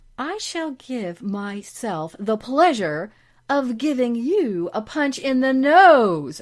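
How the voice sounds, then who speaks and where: A female-sounding voice in a put-on character voice growls at a high pitch and a very slow pace, captured in a very clean recording with a silent background. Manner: angry, growling.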